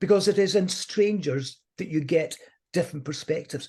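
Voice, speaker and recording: In a Scottish accent, against a quiet background. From Scotland. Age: 70s. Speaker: motivational speaker. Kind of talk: interview.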